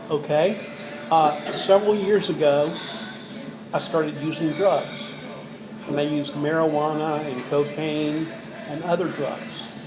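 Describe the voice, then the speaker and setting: A man's fairly high voice at a fairly slow pace, fairly even in intonation, with long, frequent pauses, audible room echo and music in the background. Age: 60s. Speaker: care home resident with Parkinsonism. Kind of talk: interview.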